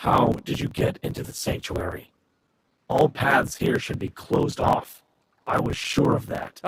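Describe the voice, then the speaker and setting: A man speaks at a moderate pace and medium pitch. He uses a put-on character voice. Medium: video game. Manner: wary.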